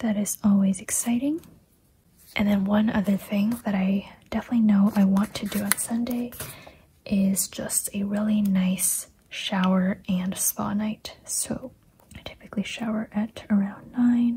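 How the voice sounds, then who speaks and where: Soft-spoken speech comes at a fairly slow pace over noticeable background noise. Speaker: planner youtuber and small shop owner. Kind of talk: casual chat. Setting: at home. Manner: soft-spoken, talking quietly.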